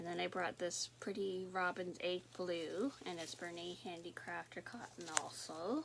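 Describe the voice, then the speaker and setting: A woman with a Canadian accent, fairly low-pitched and fairly slow, against noticeable background noise. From Canada, southern Ontario. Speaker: knitting and crochet vlogger. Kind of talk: casual chat. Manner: relaxed, chatty.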